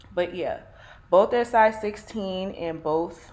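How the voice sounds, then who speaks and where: With a Brooklyn accent, a woman speaks at a very slow pace in a fairly low pitch. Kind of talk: casual talk to camera.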